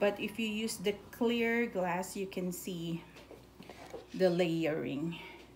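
Over noticeable background noise, a woman's pitch varies an ordinary amount as she talks. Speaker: home cook vlogger. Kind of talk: casual cooking tutorial. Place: kitchen. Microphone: phone near.

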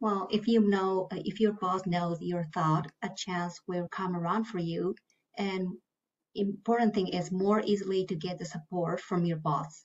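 A woman with a Japanese accent speaks at a fairly slow pace and medium pitch, somewhat breathy. Her intonation is fairly even, and the background is quiet. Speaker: finance manager; panelist. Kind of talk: panel discussion. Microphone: video call.

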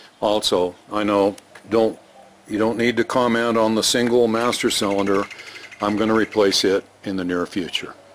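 Light background noise sits behind a man's voice. He speaks in a monotone, flat intonation. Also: fairly low pitch for a man, moderate pace. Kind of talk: tutorial. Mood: pleased, relaxed. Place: street. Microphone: phone near.

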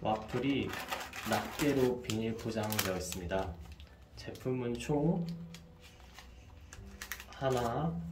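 Speech comes at a very slow pace over clear background music, with audible room echo. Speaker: food review ASMR channel host. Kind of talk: ASMR product review, soft-spoken whisper tasting.

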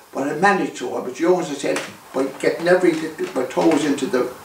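At a fairly quick pace, a man speaks amid light background noise and audible room echo. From Ireland. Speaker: former Irish republican activist. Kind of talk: interview storytelling. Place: home room. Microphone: camera far.

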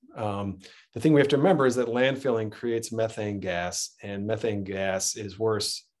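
In a quiet background, a man speaks at a moderate pace. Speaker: local politician and county executive candidate; local politician, candidate. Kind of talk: candidate forum Q&A. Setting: video call. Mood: earnest, persuasive. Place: home room. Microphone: webcam.

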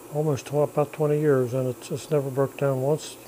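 A man's flat, monotone voice over light background noise. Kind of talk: shop tour commentary. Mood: relaxed, proud of machines. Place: workshop. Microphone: phone near.

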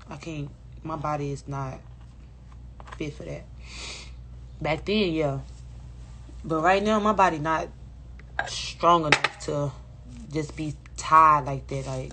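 A woman speaks at a fairly slow pace with long, frequent pauses. Noticeable background noise runs under her voice. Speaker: live streamer. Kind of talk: casual live stream chat. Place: home room. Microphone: phone near.

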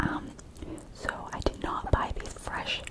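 Whispering at a very slow pace, a woman speaks. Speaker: ASMR eating video host. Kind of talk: casual talk to camera. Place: home room. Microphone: studio mic.

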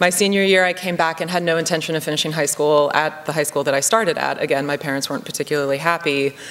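Very deep, low pitch from a woman, with fairly even intonation. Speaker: conference speaker. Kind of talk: keynote speech. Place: hall. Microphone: podium.

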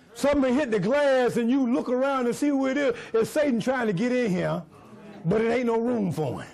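A man speaks in an extremely high voice with an animated tone. His pitch variation is ordinary. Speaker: preacher. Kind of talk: sermon. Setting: church with congregation. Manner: animated call-and-response preaching, urging the congregation to repeat lines. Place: church.

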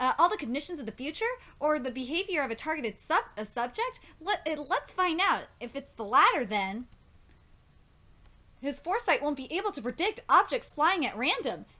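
A raised, projected voice with a bright, sharp tone moves at a fairly quick pace through very wide pitch swings. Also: woman. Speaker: manga reaction vlogger. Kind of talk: casual reaction commentary, partly reading manga text aloud. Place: home room. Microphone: webcam.

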